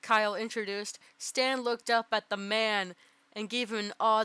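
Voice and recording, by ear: A natural voice, reading aloud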